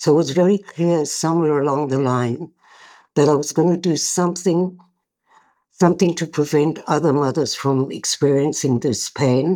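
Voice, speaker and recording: In a very clean recording with a silent background, a woman talks at a moderate pace. Her pitch is very deep and low, with ordinary variation and a dark, mellow tone. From South Africa. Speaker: bereaved mother and peace activist. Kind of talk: interview.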